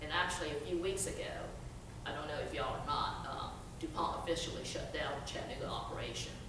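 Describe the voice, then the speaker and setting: Over noticeable background noise and audible room echo, a woman talks at a very fast pace. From China, raised from teens in Chattanooga, Tennessee. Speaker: workforce development trainer. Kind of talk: storytelling talk. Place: hall. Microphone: podium.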